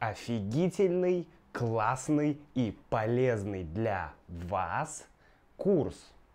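Very wide pitch swings mark this man's speech, which unfolds at a very slow pace. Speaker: language teacher vlogger; Russian language teacher vlogger. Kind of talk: casual vlog; casual vlog chat. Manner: soft-spoken, quiet; halting with fillers. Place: home room. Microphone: lapel.

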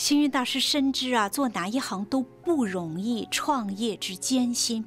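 Faint music plays in the background as a woman speaks at a fairly slow pace. Her fairly high voice makes very wide pitch swings. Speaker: TV host. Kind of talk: host introduction to camera. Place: studio. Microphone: lapel.

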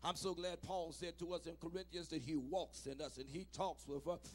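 Music plays in the background as a man talks at a fairly quick pace in an animated tone. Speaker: preacher. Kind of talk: sermon. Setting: church. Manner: call-and-response, urging the congregation to shout back; animated, exhorting. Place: church. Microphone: handheld.

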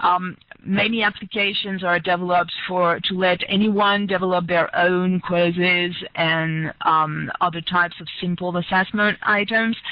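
In a French accent, a woman speaks at a medium pitch and moderate pace. Her intonation is monotone and flat, and the sound is dry with no echo. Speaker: researcher. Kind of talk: lecture. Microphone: headset.

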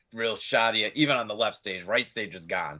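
With an American accent, a man speaks in a bright, sharp tone against a quiet background. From Pennsylvania, Scranton; Pennsylvania. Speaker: metal band vocalist; guest. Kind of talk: casual interview chat. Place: home room.

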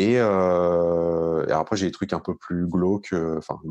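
Fairly even intonation comes through a dry, close sound with no echo over a quiet background. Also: man. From Paris region, Hauts-de-Seine. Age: 30s. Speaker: real estate investor. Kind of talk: interview.

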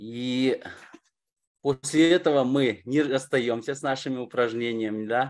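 Long, frequent pauses from a man speaking fairly slowly with fairly even intonation against a quiet background. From Kazakhstan, Almaty. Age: 40s. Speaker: course participant. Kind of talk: testimony. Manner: halting. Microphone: webcam.

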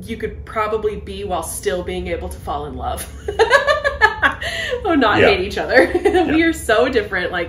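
Over light background noise and audible room echo, a woman speaks at a fairly quick pace with big swings in loudness. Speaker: video creator, co-host. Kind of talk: casual podcast chat. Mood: cheerful, laughing. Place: home room. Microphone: handheld.

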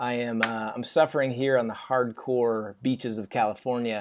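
A man's voice with fairly even intonation. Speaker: options trading educator. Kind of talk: screen-share tutorial narration. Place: home room.

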